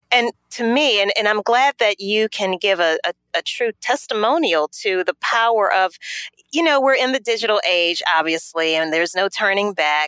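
At a moderate pace, a woman with an American accent speaks at a medium pitch in a bright, sharp tone, her intonation lively and her loudness very even, in a dry, close sound with no echo. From Louisiana, US South. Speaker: business process consultant. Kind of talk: interview.

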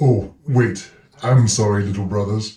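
The speaker moves along at a moderate pace. The voice is a put-on character one. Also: man, fairly low pitch for a man. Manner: slow.

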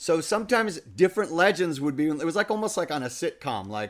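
A man talks at a fairly quick pace with lively intonation. He has a plain, everyday voice on a very clean recording with a silent background. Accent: American. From New York. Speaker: voice actor. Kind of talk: casual chat.

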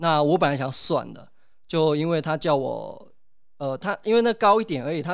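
A man with a plain, everyday voice and a fairly high pitch talks at a fairly quick pace on a very clean recording with a silent background. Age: 30s. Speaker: potter and hepatitis C patient. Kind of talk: interview testimony.

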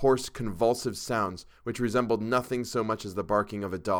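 A plain read-aloud voice, its intonation fairly even

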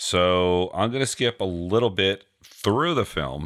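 With a New York accent, a man speaks at a very deep, low pitch and ordinary pitch variation. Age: 40s. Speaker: podcast co-host.

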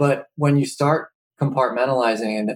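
A man with an unremarkable speaking voice at a moderate pace, with ordinary pitch variation and a dry, close sound with no echo. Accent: American. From Philadelphia area. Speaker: logistics company co-founder. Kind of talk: casual interview.

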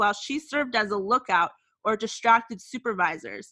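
Her tone is bright and sharp, with lively intonation. The woman talks at a moderate pace and a fairly high pitch. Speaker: podcast co-host. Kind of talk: casual chat.

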